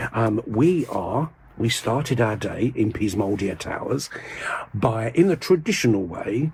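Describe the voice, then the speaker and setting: A man whispering with an English accent over noticeable background noise. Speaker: video blogger. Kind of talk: casual vlog monologue. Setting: in a church. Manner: halting.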